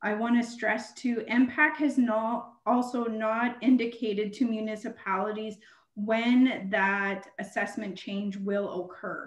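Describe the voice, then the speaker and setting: A woman with a Canadian accent, fairly high pitch, fairly even intonation and a somewhat breathy voice, at a fairly slow pace with hardly any pauses, audible room echo over a quiet background. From Canada. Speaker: municipal treasurer. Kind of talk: council meeting presentation. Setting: video call. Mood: earnest, emphatic. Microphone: video call.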